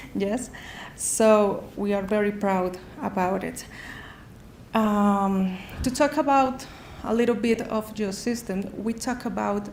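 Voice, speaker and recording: Speaking very slowly with long, frequent pauses, a woman with a Spanish accent keeps her intonation fairly even amid audible room echo. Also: medium pitch for a woman. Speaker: sponsor company representative. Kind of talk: sales pitch. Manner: halting.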